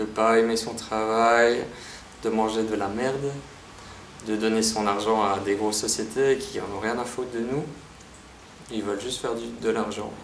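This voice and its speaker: A man's medium-pitched voice, fairly slow and flat, with long, frequent pauses, audible room echo and noticeable background noise. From Belgium, Liège. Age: 30s. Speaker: vlogger. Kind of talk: personal vlog monologue. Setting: empty apartment. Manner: casual, hesitant with repetitions.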